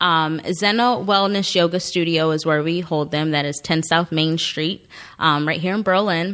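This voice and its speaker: Over a silent background in a very clean recording, a woman speaks at a moderate pace with fairly even intonation and a fairly low pitch. She has a plain, everyday voice. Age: 30s. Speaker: spoken word poet. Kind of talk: interview. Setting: studio.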